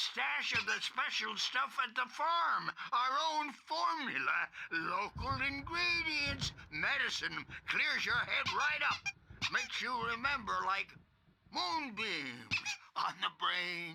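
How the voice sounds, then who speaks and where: Using a put-on character voice, a man talks at a fairly slow pace and an extremely high pitch. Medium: game stream. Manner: rambling, cackling.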